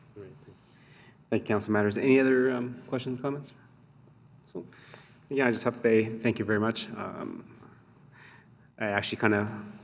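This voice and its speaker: At a fairly quick pace, a man speaks at a medium pitch with fairly even intonation, big swings in loudness, and long, frequent pauses. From immigrant to Canada, raised in Stony Plain, Alberta. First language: not English. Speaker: town councillor. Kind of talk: council meeting discussion. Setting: council chambers.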